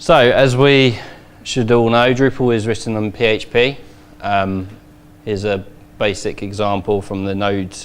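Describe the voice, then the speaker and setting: A man with a London accent speaks with fairly even intonation and long, frequent pauses. Audible room echo surrounds his voice. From England, London. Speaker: conference speaker, web developer. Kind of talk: conference talk.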